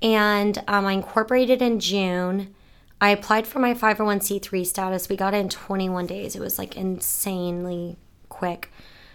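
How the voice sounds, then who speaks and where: A woman with an American accent and a plain, everyday voice speaks at a medium pitch and a moderate pace, her intonation fairly even, in a very clean recording with a silent background. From Florida. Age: 20s. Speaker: nonprofit founder. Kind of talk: interview.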